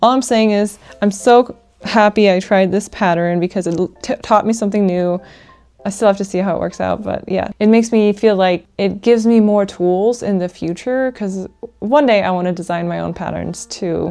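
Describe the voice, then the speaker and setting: With a dark, mellow tone, a woman speaks at medium pitch and a moderate pace, her intonation fairly even. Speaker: crochet vlogger. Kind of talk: casual vlog talk. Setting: at home with a sleeping baby.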